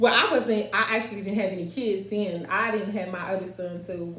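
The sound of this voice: A woman's fairly low-pitched, fairly bright voice at a fairly quick pace, with fairly even intonation and audible room echo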